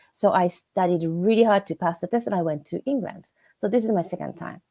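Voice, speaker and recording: In a dry, close sound with no echo, a woman speaks fairly quickly at medium pitch, in a dark, mellow tone with ordinary pitch variation. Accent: Japanese. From Japan. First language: Japanese. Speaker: business English instructor. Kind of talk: casual chat. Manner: halting.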